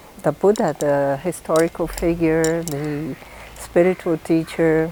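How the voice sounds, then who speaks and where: Against noticeable background noise, a woman talks at a fairly slow pace. Her pitch is fairly low, and her intonation is fairly even. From northeast Brazil. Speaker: diplomat. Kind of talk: interview.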